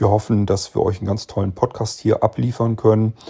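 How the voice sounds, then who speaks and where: In a somewhat breathy, dark, mellow tone, a man at medium pitch speaks at a moderate pace with monotone, flat intonation. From northern Germany, rural Lower Saxony. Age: 50s. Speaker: podcast host. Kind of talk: casual chat. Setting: recorded separately via chat app.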